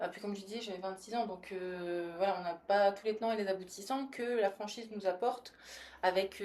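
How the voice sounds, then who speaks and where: There is a woman with an ordinary speaking voice. She talks at a moderate pace with fairly even intonation. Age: 20s. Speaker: service business franchise manager. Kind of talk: podcast interview.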